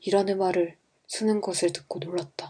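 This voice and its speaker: A woman's medium-pitched voice sounds strained and dark and mellow, moving at a moderate pace in a monotone with flat intonation. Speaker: amateur audiobook reader. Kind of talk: novel reading for sleep. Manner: flat, restrained, textbook-like.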